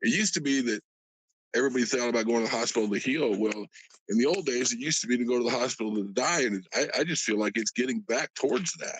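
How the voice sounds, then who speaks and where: A man rattles along very fast in a medium pitch that varies in an ordinary way. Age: 60s. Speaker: caller, tradesman. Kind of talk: casual chat. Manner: halting, many repeated words.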